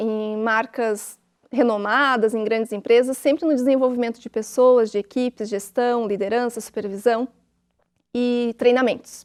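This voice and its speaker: A woman with an unremarkable speaking voice talks at a moderate pace, her pitch fairly high and intonation fairly even. The recording is very clean with a silent background and a dry, close sound with no echo. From Santa Catarina, Brazil (Tubarão). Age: 40s. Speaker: writer. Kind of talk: TV interview.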